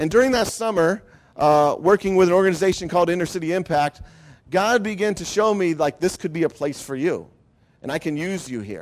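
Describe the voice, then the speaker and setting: A man with a Midwestern US accent talks at a fairly quick pace. His pitch is high, with ordinary variation. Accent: US Midwest. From Ohio. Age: 50s. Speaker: pastor. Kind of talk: testimony.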